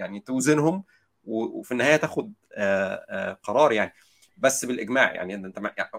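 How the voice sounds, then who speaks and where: A plain, everyday voice from a man at medium pitch, moderate in pace with lively intonation, recorded dry and close with no echo. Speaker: software engineer. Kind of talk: casual chat.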